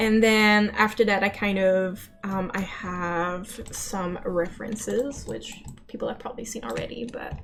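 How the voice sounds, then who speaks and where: Fairly even intonation is heard along with audible room echo. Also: woman, medium pitch for a woman, fairly slow pace, hardly any pauses, big swings in loudness. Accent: Quebec. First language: French. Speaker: animator. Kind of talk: art stream tutorial.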